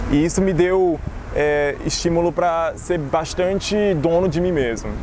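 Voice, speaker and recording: With a Cearense accent, a man speaks at a fairly slow pace in a high pitch, his intonation fairly even and loudness very even, amid noticeable background noise and audible room echo. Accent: Cearense Brazilian Portuguese. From Brazil, Fortaleza, Ceará. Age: 20s. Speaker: political candidate. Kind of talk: personal testimony.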